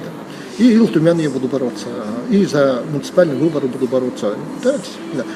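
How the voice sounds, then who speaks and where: Noticeable background noise runs under the recording. A man talks at a fairly quick pace with a fairly high pitch. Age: 60s. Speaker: former district head, politician. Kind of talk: interview. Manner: hesitant, with many fillers.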